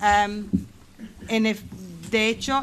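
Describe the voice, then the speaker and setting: A medium-pitched woman's voice with an English accent. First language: English (speaking Spanish). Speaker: residents' association representative. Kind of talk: parliamentary committee hearing. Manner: halting, many fillers.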